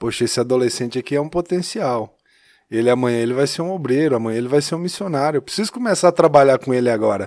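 Lively intonation marks this man's fairly high voice. It is a normal speaking voice. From Minas Gerais, Brazil (Taiobeiras, near Montes Claros). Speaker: church youth ministry leader. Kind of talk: casual chat.

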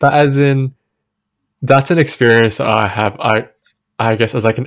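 A man's voice with fairly even intonation, in a very clean recording with a silent background. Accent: Australian. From Western Sydney, Australia. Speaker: podcast co-host. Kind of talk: casual chat.

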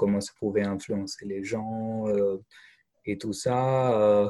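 A man speaks at a very slow pace with a fairly low pitch. His intonation stays monotone and flat. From India. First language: not French; schooled in English in India (speaking French). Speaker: French language teacher. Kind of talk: interview. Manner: hesitant, many fillers and repetitions.

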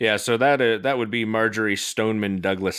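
A man speaks with an American accent and fairly even intonation. The recording is very clean, with a silent background. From Florida. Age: 30s. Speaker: podcast host. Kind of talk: casual chat.

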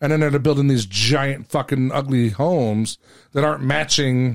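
On a very clean recording with a silent background, a man with an American accent and an unremarkable speaking voice talks at a fairly quick pace, medium pitch, and ordinary pitch variation. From California. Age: 50s. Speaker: podcast host. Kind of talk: casual chat.

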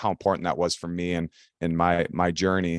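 The voice carries an Upper Midwest accent at a moderate pace. The recording is very clean with a silent background, dry and close with no echo. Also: man. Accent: Upper Midwest American. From Minnesota, Elk River. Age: 30s. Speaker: retired ice hockey player. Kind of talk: casual interview. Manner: halting, many fillers.

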